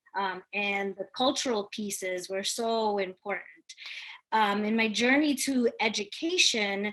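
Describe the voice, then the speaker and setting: A woman speaks in a Spanish accent. Her pace is fairly slow and her pitch fairly high. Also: ordinary pitch variation. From Hempstead, New York. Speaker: teacher. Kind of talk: panel discussion.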